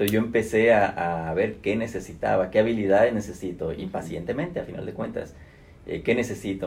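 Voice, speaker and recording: Somewhat breathy, a man with fairly low pitch speaks at a fairly quick pace with ordinary pitch variation. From Mexico (Guadalajara). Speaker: human resources executive. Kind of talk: interview.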